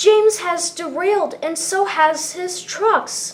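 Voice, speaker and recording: A woman's put-on character voice at an extremely high pitch and a fairly slow pace. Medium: read story. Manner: eager, impulsive.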